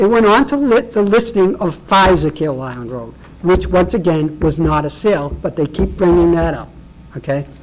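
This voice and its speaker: The voice is loud and moves at a moderate pace over noticeable background noise. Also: man. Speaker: property owner appealing assessment. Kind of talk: public hearing testimony. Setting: public board meeting. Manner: animated.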